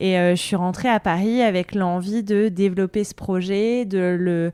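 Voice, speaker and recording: A woman speaks at a fairly slow pace. Her tone is dark and mellow, her intonation fairly even. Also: medium pitch for a woman. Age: 30s. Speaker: journalist and podcaster. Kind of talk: interview.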